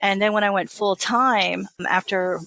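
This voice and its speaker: Against a quiet background, a woman with an American accent speaks at a moderate pace in a bright, sharp tone. Her intonation is fairly even, and the sound is dry and close with no echo. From Texas. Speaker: author. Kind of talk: interview. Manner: casual.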